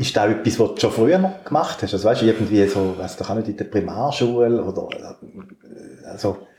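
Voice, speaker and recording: This man talks at a fairly quick pace with lively intonation. Noticeable background noise can be heard. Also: medium pitch for a man. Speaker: podcast host. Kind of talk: casual chat. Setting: at a guest's home.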